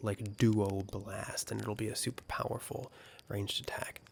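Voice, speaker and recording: A man speaks softly at a fairly low pitch. The recording is very clean, with a silent background. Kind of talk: soft-spoken video game review. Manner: soft-spoken.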